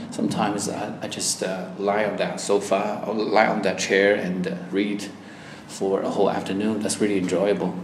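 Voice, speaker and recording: Over noticeable background noise, a man with a Chinese accent speaks at a moderate pace, his fairly low pitch held in a flat monotone. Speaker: language exam candidate. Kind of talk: oral exam interview. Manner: hesitant, with fillers.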